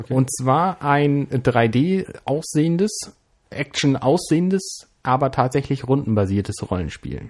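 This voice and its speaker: A man's fairly high voice with lively intonation and a very slow pace, over a quiet background. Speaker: podcast co-host. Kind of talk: casual chat.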